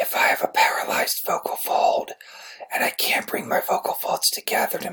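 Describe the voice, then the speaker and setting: An extremely high, put-on character voice comes through, breathy and raspy. It moves at a fairly quick pace. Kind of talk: clinical demonstration of a voice disorder.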